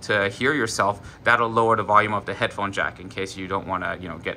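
A man's bright, sharp tone over light background noise. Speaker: product reviewer. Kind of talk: tutorial. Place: home room.

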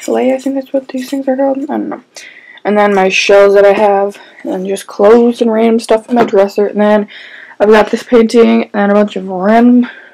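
The speaker is a woman, talking at a moderate pace. Her pitch varies in an ordinary way over a quiet background. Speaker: vlogger giving room tour. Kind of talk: casual vlog chat. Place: home room. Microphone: phone near.

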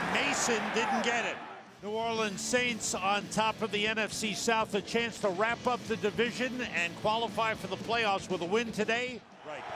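A man projects a raised, high voice at a moderate pace with fairly even intonation. Noticeable background noise is present. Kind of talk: live play-by-play sports commentary.

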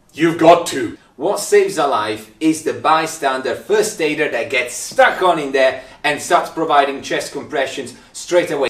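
A man speaks in an animated, dramatic tone with lively intonation. He talks at a fairly slow pace, with audible room echo. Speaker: paramedic. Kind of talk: angry rant about bad first aid, mimicking bystanders. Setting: video recording to camera. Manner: exasperated, sarcastic, dramatic; animated, mocking voices. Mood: humorous exasperation. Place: empty room.

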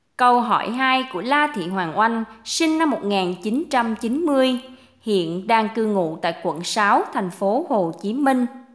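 Her pitch fairly high, a woman speaks at a very slow pace with very wide pitch swings. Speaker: reader of listener questions. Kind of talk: reading aloud.

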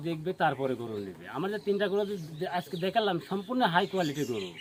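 The high voice of a man shows ordinary pitch variation. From Bangladesh, Pabna district. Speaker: dairy farmer. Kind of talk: casual interview.

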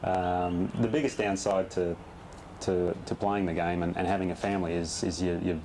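A man with an Australian accent and very deep, low pitch, monotone, flat intonation, a moderate pace, noticeable background noise. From Western Australia, Perth. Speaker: professional golfer. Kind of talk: interview. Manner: halting, many repetitions and fillers. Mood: relaxed, friendly. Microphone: lapel.

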